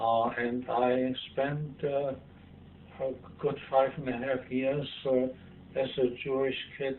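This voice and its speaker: A man speaks with a German accent. His pitch is medium. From Germany, Hamburg. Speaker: civil rights activist. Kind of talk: interview.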